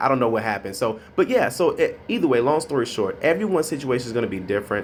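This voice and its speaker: A man talking at a very fast pace over light background noise. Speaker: credit consultant. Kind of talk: tutorial. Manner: casual, with many filler words. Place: office. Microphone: phone near.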